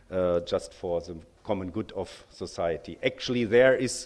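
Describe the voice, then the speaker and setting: This man talks with a German accent. His intonation is lively. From Germany. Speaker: lawyer, bar association representative. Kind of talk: conference speech. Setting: conference stage with audience. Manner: formal, with frequent hesitations.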